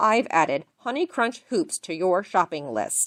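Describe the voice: A put-on robotic character voice that sounds female, at a medium pitch for a woman. The pace is moderate and the pitch swings very widely.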